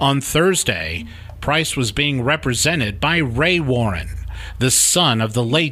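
With lively intonation, a man talks fairly slowly while noticeable background noise is heard. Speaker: crime reporter podcast host. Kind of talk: true-crime narration. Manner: measured, serious; steady, storytelling delivery.

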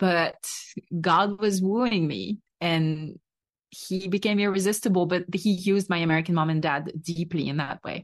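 A woman with a French accent speaks at a fairly low pitch, keeping her intonation fairly even. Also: moderate pace. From France. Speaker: podcast host sharing her testimony. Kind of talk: testimony.

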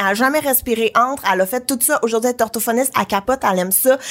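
A woman talks at a very fast pace. Her pitch is fairly high, with ordinary pitch variation. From Quebec, Brossard (South Shore of Montreal). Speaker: author and podcast host. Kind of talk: casual chat.

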